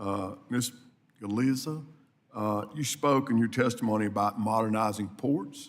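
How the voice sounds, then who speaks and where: Fairly low in pitch, a man keeps his intonation fairly even. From US South, South Mississippi. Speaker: congressman. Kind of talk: committee hearing questioning.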